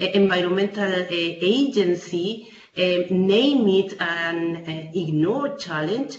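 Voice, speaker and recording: A woman talks at a very slow pace with ordinary pitch variation, amid light background noise and audible room echo. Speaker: urban policy researcher. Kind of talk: webinar presentation. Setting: video call. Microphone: video call.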